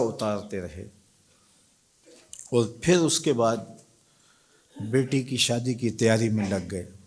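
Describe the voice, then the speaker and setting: Medium in pitch for a man, this man has a normal speaking voice with ordinary pitch variation. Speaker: Islamic scholar and preacher. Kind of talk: religious lecture.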